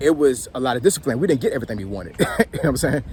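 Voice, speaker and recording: A man speaks at a medium pitch. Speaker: military veteran and commentator. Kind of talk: casual monologue. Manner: halting, repetitive.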